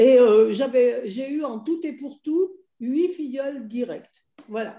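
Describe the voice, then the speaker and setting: A woman's high-pitched, dark, mellow voice with ordinary pitch variation, big swings in loudness and a very slow pace. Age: 70s. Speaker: investor giving testimony. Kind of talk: testimony.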